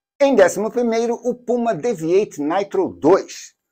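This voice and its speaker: A dark, mellow tone with lively intonation on a very clean recording with a silent background. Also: man. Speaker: sneaker reviewer. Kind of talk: scripted narration.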